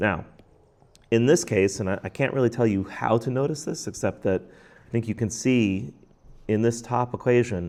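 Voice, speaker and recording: A man's normal speaking voice at medium pitch, with a moderate pace and ordinary pitch variation. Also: big swings in loudness. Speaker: math teacher. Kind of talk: tutorial.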